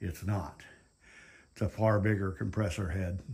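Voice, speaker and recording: Ordinary pitch variation marks this somewhat breathy voice. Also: man. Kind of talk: casual vlog chat. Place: garage. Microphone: phone near.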